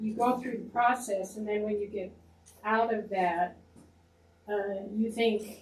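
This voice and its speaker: Somewhat breathy and fairly high in pitch, a woman speaks at a fairly slow pace in a flat monotone, with long, frequent pauses. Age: 80s+. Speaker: audience member. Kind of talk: testimony.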